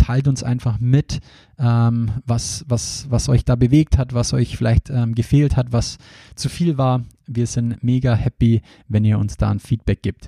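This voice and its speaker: A man with a Bavarian accent speaks at a fairly slow pace in a medium pitch. His dark, mellow tone is somewhat breathy, and his intonation stays fairly even. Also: dry, close sound with no echo. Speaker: podcast host and recruiting trainer. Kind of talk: solo podcast introduction.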